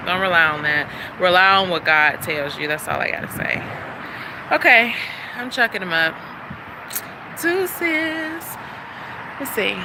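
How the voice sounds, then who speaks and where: Noticeable background noise sits behind a woman speaking at a medium pitch and a moderate pace with ordinary pitch variation. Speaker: vlogger. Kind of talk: casual vlog monologue. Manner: animated, conversational.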